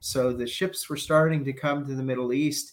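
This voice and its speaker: A man with an American accent uses an ordinary speaking voice. His pitch is medium, and his intonation stays fairly even. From New York. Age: 50s. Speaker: hospitality executive. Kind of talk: interview.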